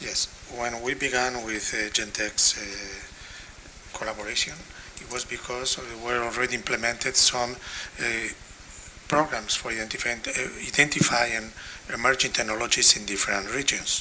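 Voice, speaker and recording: At a moderate pace and medium pitch, a man with a Spanish accent speaks in a monotone, flat way with big swings in loudness, amid audible room echo and noticeable background noise. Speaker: health technology assessment expert. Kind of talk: conference panel discussion. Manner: halting.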